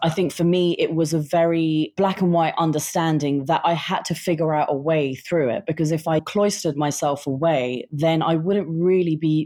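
A woman with a very deep, low pitch speaks in a dark, mellow tone at a moderate pace. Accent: British. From England, British Indian family. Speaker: writer. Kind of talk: interview.

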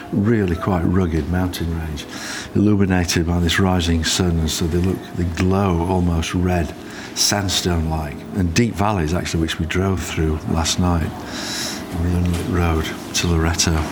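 At a moderate pace, a man with a very deep, low pitch speaks in fairly even intonation over noticeable background noise. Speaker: wildlife sound recordist. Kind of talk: nature documentary narration, first-person travel diary. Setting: outdoors on a boat. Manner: calm, measured, descriptive.

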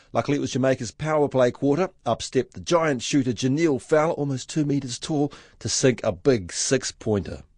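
The sound is dry and close with no echo, the pace moderate and the background quiet. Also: man. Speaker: sports reporter. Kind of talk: news report. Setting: sports arena.

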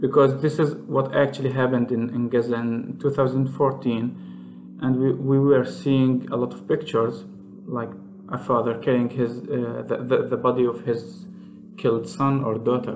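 Speaking at a medium pitch and a moderate pace, a man with an Arabic accent uses ordinary pitch variation. Audible room echo and noticeable background noise surround his voice. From Palestine. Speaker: software engineer and indie game developer. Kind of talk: interview. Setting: Skype call from his office. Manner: halting.

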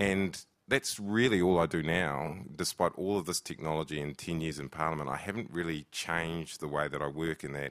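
A man speaks with a New Zealand accent at a moderate pace. His pitch is very deep and low. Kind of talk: panel discussion. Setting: stage with live audience.

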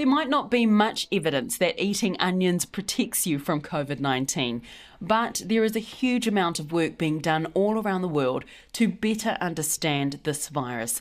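Woman with a New Zealand accent, medium in pitch with very wide pitch swings, at a moderate pace on a very clean recording with a silent background. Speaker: podcast host. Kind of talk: news podcast presenting.

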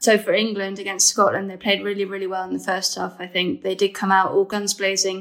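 On a very clean recording with a silent background, a woman at a medium pitch speaks at a fairly quick pace in a monotone, flat intonation. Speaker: women's football journalist. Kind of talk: casual podcast chat.

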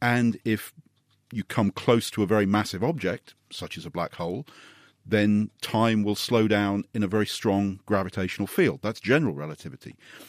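A normal speaking voice from a man, fairly low in pitch, at a moderate pace with ordinary pitch variation, dry and close with no echo, on a very clean recording with a silent background. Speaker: space scientist. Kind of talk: radio science Q&A panel.

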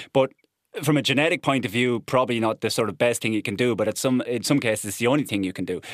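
A man with an Irish Midlands accent talks at a very fast pace in a medium pitch with ordinary pitch variation, and the sound is dry and close with no echo. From Ireland, Offaly (midlands). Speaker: ornithologist and biodiversity officer. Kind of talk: casual chat.

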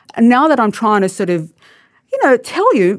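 In a very clean recording with a silent background, a woman speaks with an Australian accent. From Australia, born in Lebanon. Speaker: writer. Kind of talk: panel discussion. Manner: halting.

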